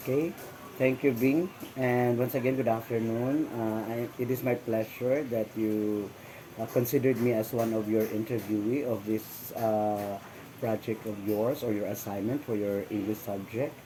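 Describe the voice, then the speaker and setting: This man has a Visayan Filipino accent and fairly even intonation. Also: medium pitch for a man, moderate pace. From Philippines, Misamis Occidental. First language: Bisaya (Cebuano). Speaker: interviewee. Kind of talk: interview. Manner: halting, many fillers; formal.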